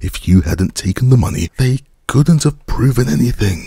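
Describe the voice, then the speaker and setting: A man's put-on character voice at a medium pitch and a moderate pace, with very wide pitch swings. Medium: read story.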